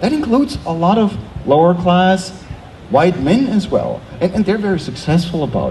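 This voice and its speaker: Noticeable background noise sits behind a man whose high-pitched voice moves with lively intonation at a moderate pace, its loudness very even. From Germany, small town. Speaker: theology professor. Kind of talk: panel discussion.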